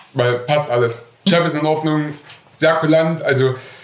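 Amid noticeable background noise and audible room echo, a man with a fairly high pitch speaks with fairly even intonation. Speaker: metalworker. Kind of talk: storytelling interview.

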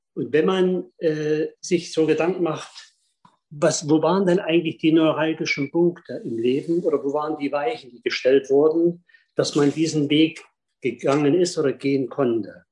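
A plain, everyday voice from a man, fairly high in pitch, with ordinary pitch variation. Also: moderate pace. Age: 50s. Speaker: speed skating coach. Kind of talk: storytelling in online salon.

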